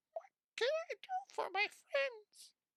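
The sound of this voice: This put-on character voice is squeaky and extremely high-pitched.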